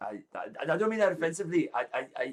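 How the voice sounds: A man does a put-on character voice, fairly high and slightly husky, talking fast with big pitch swings.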